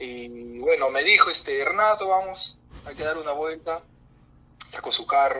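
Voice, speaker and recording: A man speaking at a fairly slow pace, with big swings in loudness over noticeable background noise. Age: 20s. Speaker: geology graduate. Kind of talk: casual chat. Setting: video call.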